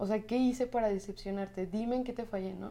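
Against noticeable background noise, a woman with a Mexican accent speaks at a medium pitch with fairly even intonation. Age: 20s. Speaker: physiotherapist. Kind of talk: personal testimony interview.

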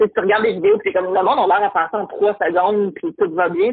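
At a very fast pace, a woman speaks with a medium pitch and fairly even intonation. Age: 30s. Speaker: entrepreneur. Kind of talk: casual chat.

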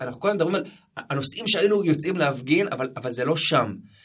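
A man uses a normal speaking voice at a moderate pace with lively intonation. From Jerusalem, Israel. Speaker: social activist. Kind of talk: interview.

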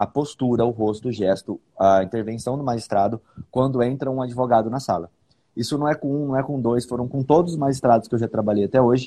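A dark, mellow tone at a fairly quick pace with fairly even intonation. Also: man. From Bauru, interior of São Paulo state, Brazil. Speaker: public defender and podcast host. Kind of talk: casual legal discussion podcast.

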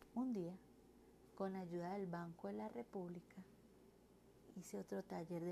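Lively intonation marks this woman's fairly low, dark and mellow voice. She speaks at a fairly slow pace. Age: 30s. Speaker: reading promoter and mother. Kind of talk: personal narrative reading.

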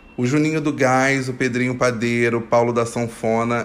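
Speaking at a moderate pace, a man with a Carioca accent uses a medium pitch. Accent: carioca Brazilian Portuguese. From Rio de Janeiro, Brazil. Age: 20s. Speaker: podcast host. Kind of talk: solo casual monologue. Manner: playful, joking.

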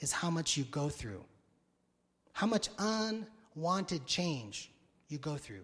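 This voice belongs to a man. It sits high in pitch. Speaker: pastor. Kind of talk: sermon. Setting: church. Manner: energetic.

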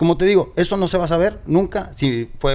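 This is a man's voice. His intonation is lively. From Monterrey, Nuevo León, Mexico. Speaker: radio host. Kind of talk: casual interview.

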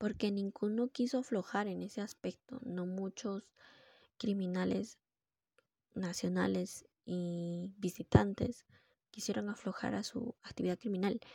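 A woman at medium pitch, with a dark, mellow tone and a somewhat breathy voice, speaks at a fairly slow pace with long, frequent pauses in a dry, close sound with no echo. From Peru. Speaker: podcast host. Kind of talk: solo monologue podcast.

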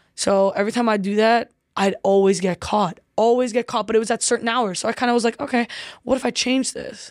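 A woman with a fairly high pitch speaks in an ordinary speaking voice. The sound is dry and close with no echo, and the recording is very clean with a silent background. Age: 20s. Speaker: professional footballer. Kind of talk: casual interview.

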